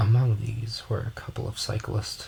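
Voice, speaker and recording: A soft-spoken man speaks at a fairly low pitch and moderate pace. His tone is relaxed, his intonation monotone and flat. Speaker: audiobook narrator. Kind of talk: audiobook reading. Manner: soft-spoken, relaxed.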